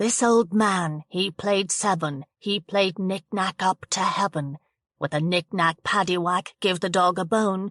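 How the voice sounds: The surroundings are quiet. Someone reads in a natural reading voice.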